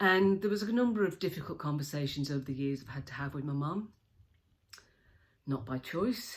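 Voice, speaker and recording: With lively intonation, a woman speaks in a very deep, low pitch. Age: 60s. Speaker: leadership speaker. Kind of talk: personal video tribute. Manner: halting.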